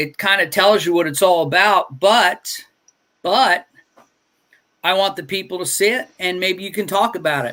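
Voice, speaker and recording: Long pauses come often as a man speaks in a raised, projected voice. His pitch is high and his tone bright and sharp. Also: ordinary pitch variation, moderate pace. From New York City (Staten Island). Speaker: comic book creator and stream host. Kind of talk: casual livestream interview. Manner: animated.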